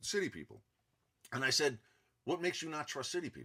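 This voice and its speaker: With a strong New York accent, a man talks at a fairly quick pace in a fairly high pitch, his bright, sharp tone touched with vocal fry. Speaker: self-help vlogger. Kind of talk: casual monologue.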